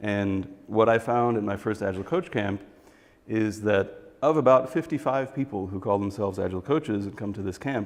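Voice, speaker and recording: A man with an American accent, moderate pace and ordinary pitch variation. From US Midwest. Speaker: agile coach and software developer. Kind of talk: talk to a workshop audience. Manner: conversational, with fillers.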